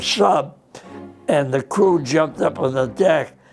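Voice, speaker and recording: Music runs behind this recording. The speaker is a man with an American accent. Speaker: World War II veteran, former radio man and gunner. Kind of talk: interview answer. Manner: humble, nonchalant.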